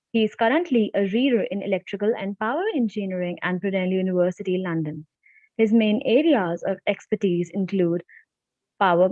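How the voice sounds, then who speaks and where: Soft-spoken, a woman talks at a moderate pace with a medium pitch and ordinary pitch variation. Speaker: student conference anchor. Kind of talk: reading aloud a speaker introduction.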